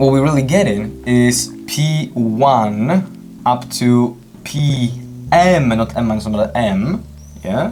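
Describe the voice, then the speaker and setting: Over music in the background and audible room echo, a man speaks at a very slow pace in a medium pitch with lively intonation. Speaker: math olympiad teacher. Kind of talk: lecture. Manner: halting.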